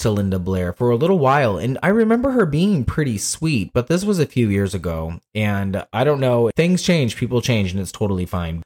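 Recorded dry and close with no echo, a man speaks in a normal speaking voice with lively intonation. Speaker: podcast co-host. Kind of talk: casual chat.

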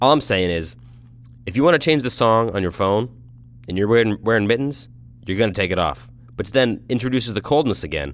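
Vocal fry colors a man's voice. He speaks at a very fast pace yet leaves long, frequent pauses. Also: medium pitch for a man, lively intonation. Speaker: podcast host. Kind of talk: casual monologue. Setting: in a car. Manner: rambling, conversational.

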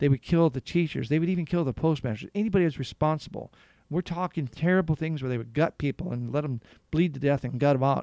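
A man with an American accent speaks in a fairly high voice. His tone is dark and mellow, the sound dry and close with no echo over a quiet background. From Southern California. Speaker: war veteran and retired police officer. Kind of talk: interview storytelling.

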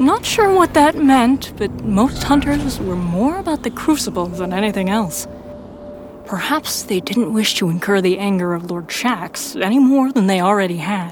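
Music plays in the background as a woman talks with very wide pitch swings. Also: medium pitch for a woman, moderate pace. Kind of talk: fiction audiobook narration, first-person Guardian narrator. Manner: measured storyteller pacing, dramatic and tense.

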